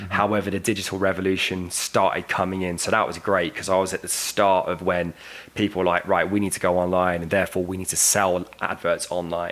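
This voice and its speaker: With a British accent, a man speaks at a fairly quick pace in a very deep, low pitch, with hardly any pauses. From United Kingdom. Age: 30s. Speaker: media sales and digital strategy professional. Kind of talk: podcast interview answer. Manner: enthusiastic.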